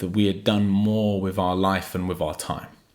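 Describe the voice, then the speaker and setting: Heard in a very clean recording with a silent background, a man with an ordinary speaking voice speaks at a fairly low pitch with fairly even intonation. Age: 30s. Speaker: motivational YouTuber. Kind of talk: motivational monologue.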